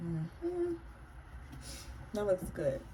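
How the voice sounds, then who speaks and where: Noticeable background noise runs under a woman who speaks at a fairly slow pace. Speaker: beauty vlogger. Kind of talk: makeup tutorial. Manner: casual, slightly halting.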